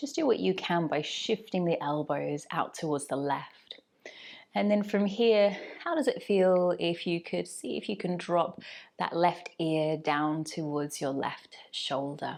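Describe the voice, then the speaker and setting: A woman speaks in a calm, gentle tone at a fairly slow pace. Her intonation is lively, and the background is quiet. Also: fairly low pitch for a woman. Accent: English. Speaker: yoga teacher. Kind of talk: guided yoga class instruction.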